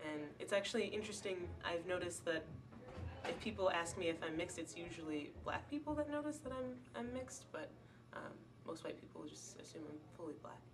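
A woman's fairly low voice at a fairly quick pace, with very wide pitch swings and noticeable background noise. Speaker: college student. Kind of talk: interview testimony. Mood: calm, reflective. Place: hall. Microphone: camera far.

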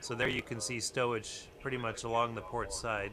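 This man's moderate-paced talking is accompanied by noticeable background noise. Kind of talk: technical walkthrough commentary. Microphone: phone near.

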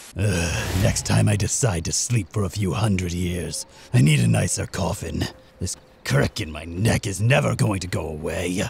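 The pace is moderate. A put-on character voice delivers the lines. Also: man, very deep, low pitch for a man. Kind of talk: comic overacting. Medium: machinima. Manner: pompous, dryly sarcastic, theatrical.

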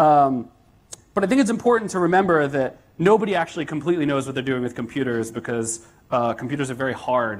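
A man speaks at a very fast pace with lively intonation. His pitch is fairly high. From United States. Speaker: software developer and conference speaker. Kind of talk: conference talk. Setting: stage with audience. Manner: casual with frequent fillers. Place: hall.

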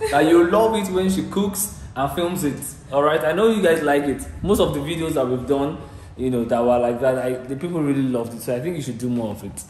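Amid light background noise and audible room echo, a man talks at a fairly quick pace with lively intonation. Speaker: vlogger filming. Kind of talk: casual vlog chat. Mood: upbeat, nostalgic. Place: home room. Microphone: phone near.

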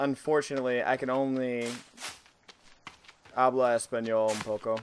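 Monotone, flat intonation in an American accent at a moderate pace, with noticeable background noise. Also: man, medium pitch for a man. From Boston, US. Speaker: gaming streamer. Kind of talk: let's play commentary.

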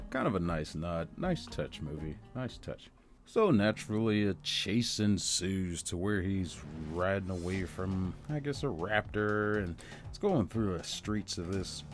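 With music in the background, a man talks at a fairly slow pace in a fairly low pitch with ordinary pitch variation. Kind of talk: casual movie trailer review commentary. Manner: sarcastic.

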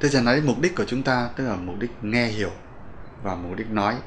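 A man talks at a moderate pace in a medium pitch. There is light background noise. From Vietnam. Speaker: English pronunciation teacher. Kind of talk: lecture. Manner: formal; halting. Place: studio.

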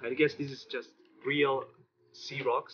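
A man with a medium-pitched, fairly bright voice and a slightly husky edge speaks at a fairly slow pace, his pitch moving little.

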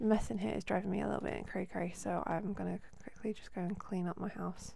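Quiet and very fast, a woman speaks. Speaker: gaming video host. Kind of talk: casual gameplay commentary.

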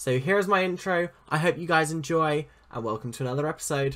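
The man's pitch shifts in an ordinary way as he speaks. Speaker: gaming youtuber. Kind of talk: casual vlog chat. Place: home room. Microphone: webcam.

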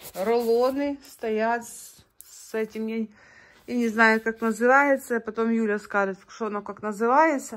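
A woman's fairly slow speech with big swings in loudness. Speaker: vlogger. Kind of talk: casual vlog narration. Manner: animated. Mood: admiring, cheerful. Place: home room. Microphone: phone near.

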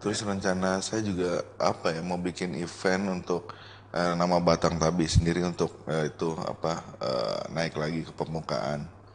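Over light background noise, a man with a very deep, low pitch talks at a moderate pace with fairly even intonation and hardly any pauses. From Jakarta; Indonesia. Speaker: waterpark owner and entrepreneur; guest. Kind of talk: casual interview. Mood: relaxed casual chat. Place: studio. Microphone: studio mic.

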